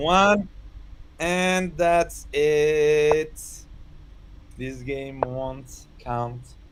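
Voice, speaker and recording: A man with a fairly high voice talks at a very slow pace, with ordinary pitch variation and long, frequent pauses. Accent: French. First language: French. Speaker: chess commentator. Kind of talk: live commentary. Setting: live stream studio.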